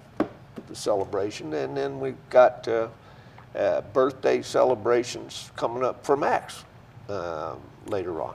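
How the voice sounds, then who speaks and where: A man speaks at a fairly slow pace with a fairly low pitch and very wide pitch swings, leaving long, frequent pauses over noticeable background noise. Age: 70s. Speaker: author and newspaper columnist. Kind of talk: casual chat.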